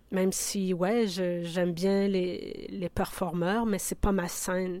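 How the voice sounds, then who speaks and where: A woman's medium-pitched voice at a very slow pace, in a very clean recording with a silent background. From Quebec (Abitibi, then Rivière-du-Loup). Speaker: curator and sound artist. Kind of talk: interview.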